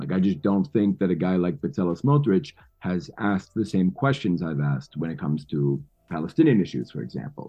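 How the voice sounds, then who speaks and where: A man talks at a fairly quick pace in a very deep, low pitch. His pitch swings very widely. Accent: New York. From New York City. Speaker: podcast host. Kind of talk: interview conversation.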